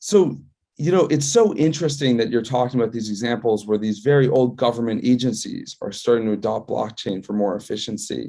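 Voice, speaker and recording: A dark, mellow tone moves at a fairly quick pace with ordinary pitch variation. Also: man, medium pitch for a man. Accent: American. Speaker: company CEO and interview host. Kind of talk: casual interview chat.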